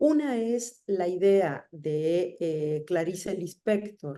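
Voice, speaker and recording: Her pitch swings very widely as the woman speaks in a dark, mellow tone. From Argentina. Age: 60s. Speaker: writer and essayist. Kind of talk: interview conversation.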